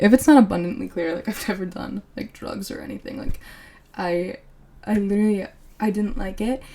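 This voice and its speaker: A somewhat breathy woman with an American accent, medium pitch and a dark, mellow tone at a moderate pace. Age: 20s. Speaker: podcast host. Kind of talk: casual chat.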